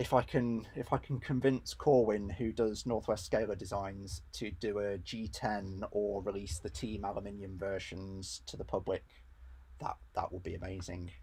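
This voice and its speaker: A somewhat breathy voice with an English accent, a dark, mellow tone, ordinary pitch variation and a moderate pace. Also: man, fairly low pitch for a man. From England. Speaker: RC hobby YouTuber. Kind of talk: live stream workshop chat. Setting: home garage. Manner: casual, hesitant with fillers.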